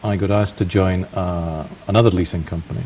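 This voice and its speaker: A man's very deep, low voice with a Scottish accent, fairly even intonation and noticeable background noise. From Scotland. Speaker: banker. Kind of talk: TV interview.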